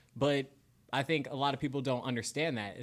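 In a very clean recording with a silent background, a man with an American accent speaks at a very fast pace. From Florida. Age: 20s. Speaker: TV news journalist. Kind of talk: casual interview chat.

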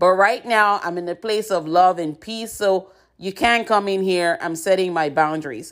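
A woman speaks at a moderate pace and medium pitch, with ordinary pitch variation, in a normal speaking voice. The recording is very clean and the background silent. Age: 50s. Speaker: podcast host and author. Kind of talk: inspirational monologue.

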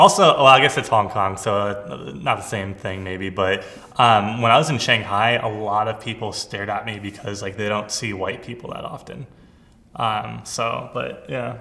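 A man with a fairly low pitch uses a normal speaking voice at a moderate pace, with ordinary pitch variation and big swings in loudness. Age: 20s. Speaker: podcast host. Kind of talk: casual chat.

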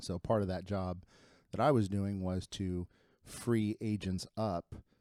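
On a very clean recording with a silent background and a dry, close sound with no echo, a man with a Midwestern American accent speaks at a fairly low pitch with a dark, mellow tone, fairly even intonation and a fairly slow pace, pausing long and often. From Ohio (Lima). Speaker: real estate agent. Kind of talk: casual chat.

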